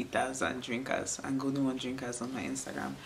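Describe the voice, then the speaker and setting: With noticeable background noise and audible room echo, a woman speaks fairly quickly at a very deep, low pitch. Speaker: beauty and lifestyle vlogger. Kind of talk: casual vlog talk to camera. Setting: at home, indoors on a rainy day. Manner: calm, soft ASMR-like.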